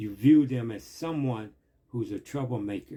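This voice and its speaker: A man's dark, mellow, somewhat breathy voice, medium in pitch with ordinary pitch variation, at a fairly slow pace. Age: 60s. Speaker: vlogger, former street hustler giving life advice. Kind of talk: impassioned address to camera. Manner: animated.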